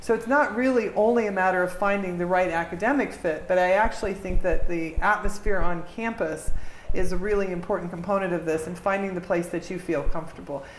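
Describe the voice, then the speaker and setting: Amid noticeable background noise and audible room echo, a woman with an American accent talks fairly quickly at a medium pitch, with ordinary pitch variation and hardly any pauses. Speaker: diplomat. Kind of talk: interview. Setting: audience of students. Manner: fast.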